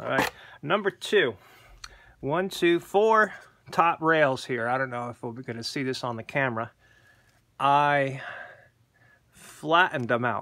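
A man talks in a fairly high, bright and sharp voice with lively intonation and big swings in loudness. He leaves long, frequent pauses against a quiet background. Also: fairly slow pace. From Pennsylvania. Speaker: gun owner, military veteran. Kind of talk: casual video tutorial. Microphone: phone near.

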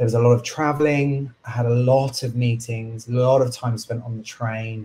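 At a fairly slow pace, a man speaks in a medium pitch with a dark, mellow, somewhat breathy tone and monotone, flat intonation. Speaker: coach and chartered surveyor. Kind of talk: casual interview.

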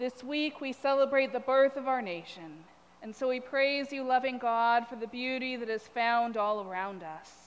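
Her pitch is high, and the woman keeps a moderate pace. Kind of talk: prayer reading. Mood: calm, reverent. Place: church.

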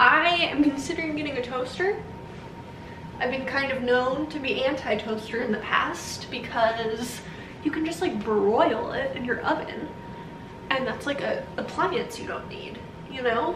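Music plays behind a woman who speaks at a high pitch and a fairly slow pace, with ordinary pitch variation. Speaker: vlogger. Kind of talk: casual vlog chat. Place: kitchen. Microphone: camera far.

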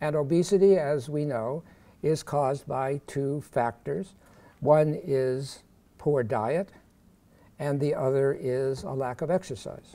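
With a dark, mellow tone and ordinary pitch variation, a man speaks at a very slow pace. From Pittsburgh, Pennsylvania. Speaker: professor. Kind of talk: lecture. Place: hall. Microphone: podium.

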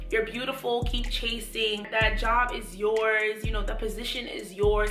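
Recorded with audible room echo and clear background music, a woman speaks at a fairly quick pace. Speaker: lifestyle YouTuber. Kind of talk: casual talk to camera. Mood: earnest, motivational. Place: home room.

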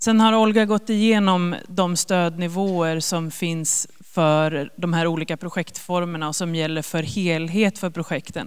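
In a normal speaking voice, a woman talks at a fairly slow pace with a fairly low pitch, fairly even intonation and hardly any pauses, over a quiet background. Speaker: government agency officer; presenter. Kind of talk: informational presentation. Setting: stage with audience. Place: hall. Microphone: handheld.

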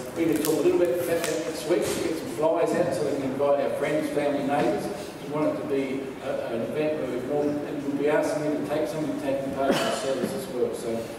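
A man at a very fast pace, with strong room echo and noticeable background noise. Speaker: pastor. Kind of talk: church announcements then sermon. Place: church. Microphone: camera far.

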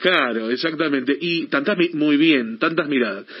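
Using an ordinary speaking voice, a man talks fairly high in pitch, at a moderate pace, and with ordinary pitch variation. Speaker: radio host. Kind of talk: radio interview questions.

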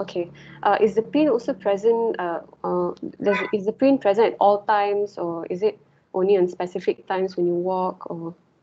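A woman speaks with a Malaysian accent at a moderate pace. Her pitch is medium, with ordinary variation. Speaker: medical student. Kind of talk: mock history taking. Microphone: video call.

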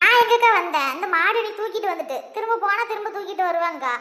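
A woman puts on a cartoonish character voice, squeaky and extremely high in pitch. She talks at a fairly quick pace with lively intonation. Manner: chatty, laughing.

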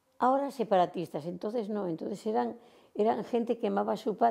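A woman's dark, mellow voice at medium pitch, over a quiet background. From Santander, Cantabria, Spain. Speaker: retired dancer. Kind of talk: oral history interview answer. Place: home room. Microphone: lapel.

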